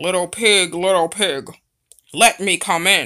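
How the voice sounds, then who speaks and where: In a put-on character voice, a female-sounding speaker growls at a fairly slow pace and a middle pitch. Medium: read story. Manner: roaring, then falsely kind.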